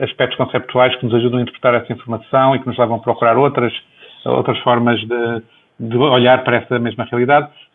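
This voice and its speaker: Speaking fairly quickly, the man keeps his voice at a medium pitch. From northern Portugal, Viana do Castelo. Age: 50s. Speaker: health economist, professor. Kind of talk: interview. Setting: video call.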